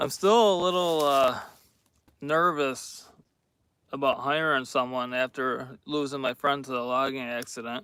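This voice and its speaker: An American accent at a fairly slow pace, with ordinary pitch variation and long, frequent pauses. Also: man. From New York State. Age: 30s. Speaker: logger. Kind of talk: live stream chat. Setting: outdoors in the woods. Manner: hesitant, many fillers.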